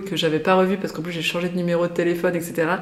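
The intonation is monotone and flat. There is noticeable background noise and audible room echo. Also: woman. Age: 30s. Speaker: guest sharing personal experience of hypersensitivity. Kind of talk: casual interview.

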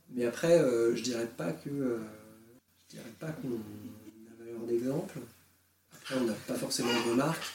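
Speaking very slowly, a man uses a medium pitch with ordinary pitch variation. His loudness swings widely, and room echo is audible. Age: 20s. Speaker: father sharing breastfeeding experience. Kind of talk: testimony. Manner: halting.

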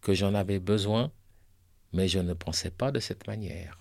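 Male speech, a very clean recording against a silent background. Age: 60s. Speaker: breast cancer survivor and poet. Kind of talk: scripted narration.

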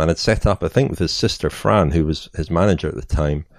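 Talking very fast with a Scottish accent and ordinary pitch variation, a man is heard on a very clean recording with a silent background. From Scotland. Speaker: cycling journalist and author. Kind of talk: interview.

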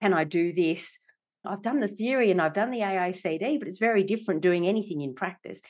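This woman has an Australian accent and lively intonation. She talks at a fairly quick pace. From Australia, Melbourne. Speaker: company director and executive coach. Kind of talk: interview. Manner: animated.

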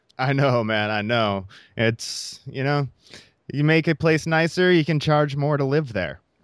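A man with a normal speaking voice, fairly high pitch, ordinary pitch variation, and a fairly slow pace, on a very clean recording with a silent background. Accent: American. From US Midwest, Iowa. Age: 30s. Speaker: podcast host. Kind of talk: casual interview.

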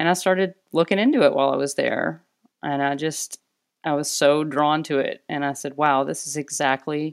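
A woman speaks at a moderate pace in an American accent, her pitch very deep and low. The recording is very clean, with a silent background. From Arkansas, US South. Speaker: naturopathic doctor and acupuncturist. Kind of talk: interview. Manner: hesitant, many fillers.

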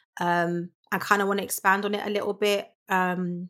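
A woman's medium-pitched voice stays monotone and flat in a very clean recording with a silent background. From London. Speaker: voiceover artist and voice coach. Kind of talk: casual interview. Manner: fast talker; mumbles in casual talk.

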